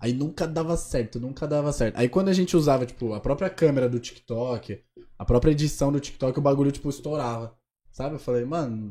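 Recorded very cleanly against a silent background, a man with a dark, mellow tone speaks at a fairly high pitch and fairly quick pace, with ordinary pitch variation. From São Paulo state, Caieiras. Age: 20s. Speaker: social media influencer. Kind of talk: casual chat.

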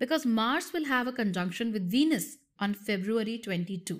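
A woman speaks at a fairly high pitch with very wide pitch swings. The recording is very clean, with a silent background. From India. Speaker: astrologer. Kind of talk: astrology talk to camera. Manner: conversational, with laughs.

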